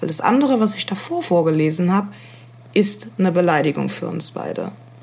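A woman with a medium pitch speaks with vocal fry. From Germany, Rhineland-Palatinate (Koblenz). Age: young. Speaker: podcast co-host. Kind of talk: casual chat. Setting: remote recording.

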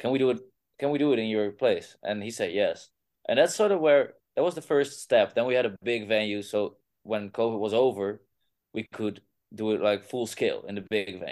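A man with a Dutch accent at a fairly quick pace, with a quiet background. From Groningen, Netherlands. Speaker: rock band singer. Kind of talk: casual interview. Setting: video call.

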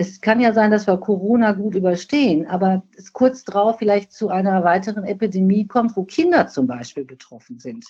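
A woman of medium pitch speaks with hardly any pauses, a dark, mellow, somewhat breathy tone, lively intonation and big swings in loudness. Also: moderate pace. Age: 60s. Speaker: nursing scientist and professional association president. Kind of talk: podcast interview.

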